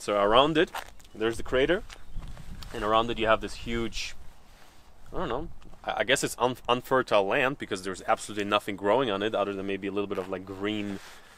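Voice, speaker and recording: A man speaks at a very fast pace with a fairly low pitch. His pitch variation is ordinary, and the sound is dry with no echo. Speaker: travel vlogger. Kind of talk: casual vlog chat. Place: open country.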